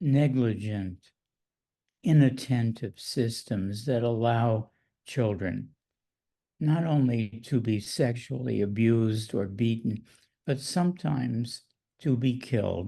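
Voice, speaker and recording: Very slowly and with long, frequent pauses, a man speaks at a medium pitch in a dark, mellow, somewhat breathy tone whose loudness stays very even. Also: ordinary pitch variation. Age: 90s. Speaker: psychoanalyst. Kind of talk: interview.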